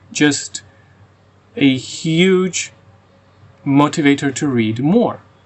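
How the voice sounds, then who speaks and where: A man with a non-native accent, fairly high in pitch, very slow, with lively intonation. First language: Croatian and Russian. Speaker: book reviewer. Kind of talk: casual review monologue. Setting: outdoors. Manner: halting, with frequent repetitions.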